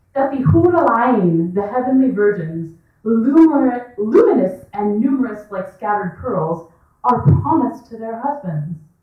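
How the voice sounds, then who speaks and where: With music in the background, a woman speaks at a fairly slow pace in a high voice with very wide pitch swings. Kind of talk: spoken word reading at a live story hour. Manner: loud.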